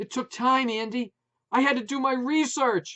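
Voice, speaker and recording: A man's loud, put-on character voice, pitched extremely high. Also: moderate pace. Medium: read story. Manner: loud, emotional.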